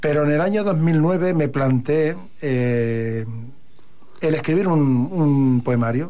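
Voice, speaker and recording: In audible room echo, the voice moves at a very slow pace with a dark, mellow tone, very even loudness and ordinary pitch variation. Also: man, fairly high pitch for a man. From Catalonia, Hospitalet de Llobregat. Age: 50s. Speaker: poet. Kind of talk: radio interview.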